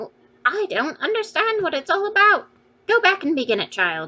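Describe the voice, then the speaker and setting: This put-on character voice swings very widely in pitch while moving at a moderate pace. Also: woman, extremely high pitch for a woman. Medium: read story. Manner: short, clipped.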